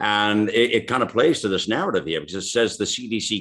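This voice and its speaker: The recording is very clean, with a silent background. A man speaks at a moderate pace in a fairly low pitch. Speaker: radio host. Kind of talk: casual interview chat with listener Q&A. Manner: conversational, warm.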